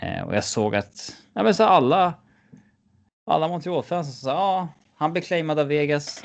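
A man talks fairly slowly in an ordinary speaking voice. His pitch variation is ordinary. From Sweden, Gothenburg. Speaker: sports podcast co-host. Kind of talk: casual hockey discussion.

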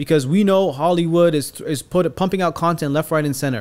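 With an ordinary speaking voice, a man talks at a fairly quick pace and ordinary pitch variation. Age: 30s. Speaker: poet and storyteller. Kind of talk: storytelling; casual chat. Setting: studio.

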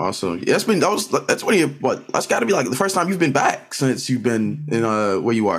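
With vocal fry and a medium pitch, a man speaks at a fairly quick pace, with hardly any pauses. His pitch swings very widely while his loudness stays very even. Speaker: podcast co-host. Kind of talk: casual chat.

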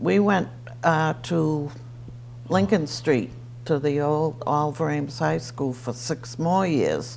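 A woman speaks with a very deep, low pitch. Her intonation is lively and her pace very slow. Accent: Eastern New England. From Easton, Massachusetts. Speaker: retiree sharing local memories. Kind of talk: oral history interview.

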